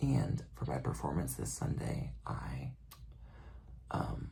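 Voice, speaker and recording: A man is whispering. His delivery is soft-spoken. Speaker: ASMR creator and graduate student on a dance team. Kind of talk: ASMR soft-spoken comforting talk to camera about anxiety. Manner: soft-spoken, whispering, reassuring.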